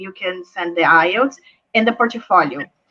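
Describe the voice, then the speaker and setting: Her tone is bright and sharp as the woman speaks at a medium pitch. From Brazil. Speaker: school admissions representative. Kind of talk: online presentation.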